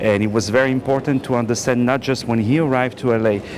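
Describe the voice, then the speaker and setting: A man with a French accent at medium pitch, talking at a fairly quick pace over noticeable background noise. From France. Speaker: film director. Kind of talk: red carpet interview. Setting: movie premiere.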